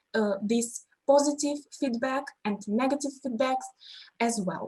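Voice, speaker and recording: With a Russian accent, a woman speaks at a fairly slow pace. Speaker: language teacher. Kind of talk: panel discussion. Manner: halting.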